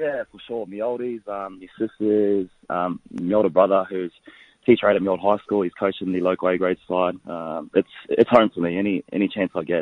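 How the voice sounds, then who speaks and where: Very deep and low in pitch, a man with an Australian accent speaks at a moderate pace with ordinary pitch variation and big swings in loudness, in a dry, close sound with no echo. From Bundaberg, Queensland, Australia (moved from New Zealand as child). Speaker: professional rugby league player. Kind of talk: radio interview. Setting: phone call.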